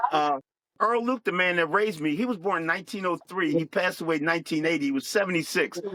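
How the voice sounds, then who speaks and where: A man speaks at a fairly quick pace with a Philadelphia accent. His pitch is high and his intonation lively. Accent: Philadelphia-area American. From US, Chester, Pennsylvania (Philadelphia area). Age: 60s. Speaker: military veteran and live-stream host. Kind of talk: podcast interview, life story.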